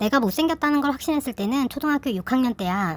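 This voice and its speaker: A woman's voice swings very widely in pitch as she speaks at a fairly quick pace, captured in a very clean recording with a silent background. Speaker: YouTuber sharing personal story. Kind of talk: casual personal talk to viewers. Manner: informal, conversational.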